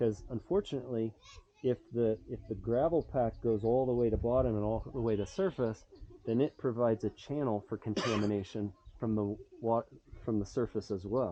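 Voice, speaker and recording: This man has a normal speaking voice at a medium pitch, with ordinary pitch variation and a moderate pace. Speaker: water engineer giving site review. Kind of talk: on-site technical walkthrough.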